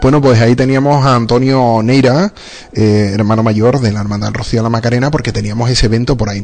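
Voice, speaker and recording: Speech comes at a very fast pace with fairly even intonation. Music plays in the background, and the room echo is audible. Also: man, medium pitch for a man. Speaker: radio host. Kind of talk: radio show with interviews.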